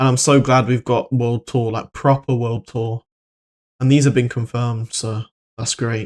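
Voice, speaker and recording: Recorded dry and close with no echo, a man at medium pitch talks at a moderate pace in a monotone, flat intonation. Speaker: gaming YouTuber. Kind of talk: video commentary. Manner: stutters; flat, low-energy delivery.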